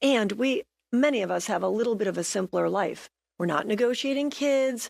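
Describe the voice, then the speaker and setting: Lively in intonation and fairly quick in pace, a woman speaks at fairly high pitch in an unremarkable speaking voice, with a dry, close sound with no echo. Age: 60s. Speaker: real estate agent and senior ballroom dancer. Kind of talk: TV interview. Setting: TV studio.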